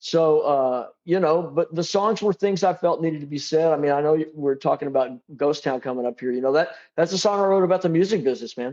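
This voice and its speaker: A man talks at a very fast pace. His pitch is fairly high, and the background is quiet. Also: ordinary pitch variation. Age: 60s. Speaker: drummer and songwriter. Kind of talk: interview. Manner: halting, many repeated starts.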